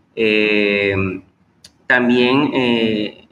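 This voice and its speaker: A man's monotone, flat delivery. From Venezuela, Maracaibo (Zulia). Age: 30s. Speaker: historian and teacher. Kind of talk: interview. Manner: halting, many fillers.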